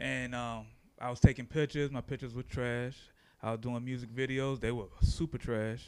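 In a very clean recording with a silent background, a man speaks at medium pitch with monotone, flat intonation. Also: moderate pace. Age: 30s. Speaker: photographer and videographer. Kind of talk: casual chat.

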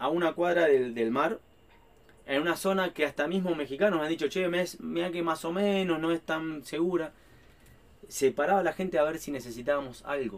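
A fairly quick man with an Argentine accent, fairly high in pitch, with ordinary pitch variation. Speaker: traveling family vlogger. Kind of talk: casual interview chat.

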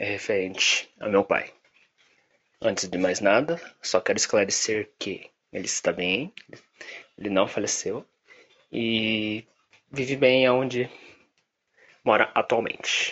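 Long, frequent pauses break up this man's very slow speech. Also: medium pitch for a man, ordinary pitch variation. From Brazil, Curitiba. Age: 20s. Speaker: advertising professional. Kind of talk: personal testimony. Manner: halting.

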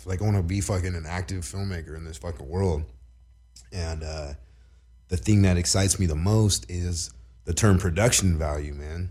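A man speaks at a moderate pace in a very deep, low pitch with ordinary pitch variation. His dark, mellow voice is somewhat breathy, with long, frequent pauses. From Southern California, Long Beach. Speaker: filmmaker. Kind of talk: casual chat. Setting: studio. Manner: animated.

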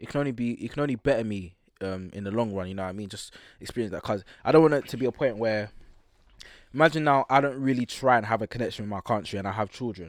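A man in a London accent, medium in pitch with ordinary variation, very fast, with big swings in loudness, on a very clean recording with a silent background. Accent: London multicultural youth. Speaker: podcast host. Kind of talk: casual chat. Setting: studio.

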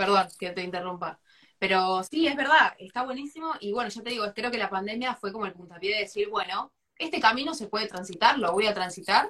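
A woman with a medium pitch and a bright, sharp tone speaks at a fairly quick pace with lively intonation. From Argentina, La Plata. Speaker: architect and interviewer. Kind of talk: live stream interview. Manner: animated.

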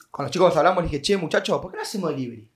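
A man's high-pitched voice with a Rioplatense accent and ordinary pitch variation. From Argentina, Mar del Plata. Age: 20s. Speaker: restaurant owner. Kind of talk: casual chat.

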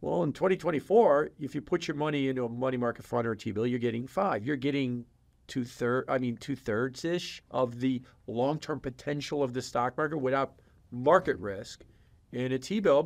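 Over a quiet background, a man with a plain, everyday voice speaks at a moderate pace and medium pitch, with ordinary pitch variation. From Chicago. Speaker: macroeconomic research firm president. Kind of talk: podcast interview. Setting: in-person studio.

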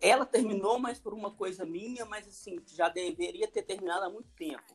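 A high-pitched man at a moderate pace, with lively intonation and big swings in loudness. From Belo Horizonte, Minas Gerais, Brazil. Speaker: podcast guest. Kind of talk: casual chat. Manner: calm.

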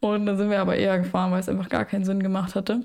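This woman speaks at a medium pitch. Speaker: podcast host. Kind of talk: casual chat.

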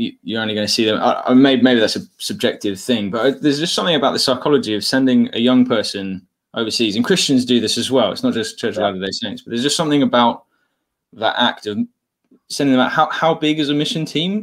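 With an English accent, a man speaks at a very fast pace. His medium-pitched voice has lively intonation. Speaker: podcast host. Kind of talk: casual chat, livestream interview. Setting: video call livestream.

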